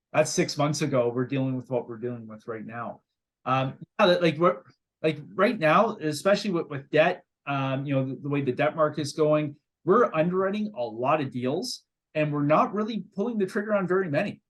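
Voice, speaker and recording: The voice has a Canadian accent. It moves at a fairly quick pace. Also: man, fairly high pitch for a man, lively intonation. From Canada. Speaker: real estate investor. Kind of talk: interview. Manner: halting, many fillers and repeated words.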